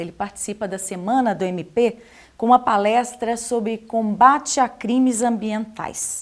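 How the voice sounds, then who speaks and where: A woman with a Portuguese accent speaks at a fairly slow pace in a fairly high voice. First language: Portuguese (speaking French). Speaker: interviewer. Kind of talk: presenting; interview.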